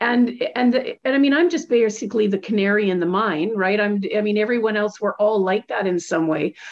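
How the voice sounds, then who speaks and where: A woman with a plain, everyday voice speaks at a fairly quick pace with hardly any pauses. Her pitch sits fairly high and varies in an ordinary way. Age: 60s. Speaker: podcast host. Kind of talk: casual interview chat; scripted outro.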